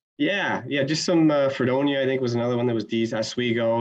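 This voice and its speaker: A man speaks with a plain, everyday voice. His pitch variation is ordinary. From upstate New York. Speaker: hockey scout, former pro player. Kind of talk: interview.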